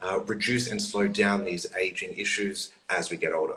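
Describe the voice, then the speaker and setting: A man's fairly high, bright and sharp voice with very wide pitch swings and an Australian accent. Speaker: skincare genetics expert. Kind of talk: explainer in live chat. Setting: livestream.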